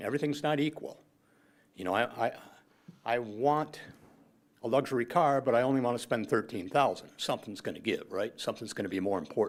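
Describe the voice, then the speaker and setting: A man talks at a very fast pace with lively intonation and a medium pitch. Long, frequent pauses break up his speech. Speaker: public commenter at city council meeting. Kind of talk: public comment. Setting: city council meeting.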